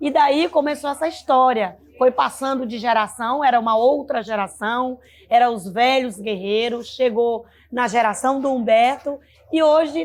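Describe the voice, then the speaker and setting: Her voice sits high, with ordinary pitch variation. The woman speaks at a fairly slow pace. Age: 60s. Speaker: leader of a folk music group. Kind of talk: interview testimony.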